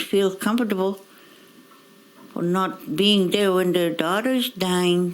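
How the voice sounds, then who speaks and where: A woman of medium pitch speaks very slowly with fairly even intonation over noticeable background noise. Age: 70s. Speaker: residential school survivor. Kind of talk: testimony.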